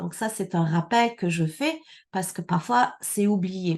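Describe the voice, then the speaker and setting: Over a quiet background, a woman talks at a fairly slow pace in a plain, everyday voice. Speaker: immigration consultant. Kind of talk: conference talk.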